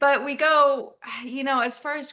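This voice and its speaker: This woman speaks with a Texas accent. Her tone is animated. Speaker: horror author. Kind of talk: interview. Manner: halting, many fillers.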